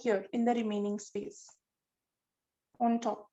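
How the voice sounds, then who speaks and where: A woman speaks at a very slow pace with a Marathi accent. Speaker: art teacher. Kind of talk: online drawing class for children. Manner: repetitive, instructive.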